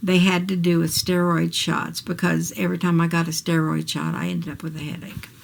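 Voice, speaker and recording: The speaker has an American accent and a moderate pace. Noticeable background noise sits behind the voice. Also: woman. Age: 60s. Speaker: vlogger. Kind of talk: personal video diary. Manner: casual, hesitant.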